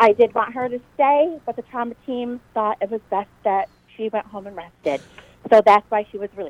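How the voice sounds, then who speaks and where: A woman with a plain, everyday voice speaks at a fairly high pitch and a moderate pace with ordinary pitch variation, in a dry, close sound with no echo. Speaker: parent of injured student. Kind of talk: phone call telling her story. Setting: phone call.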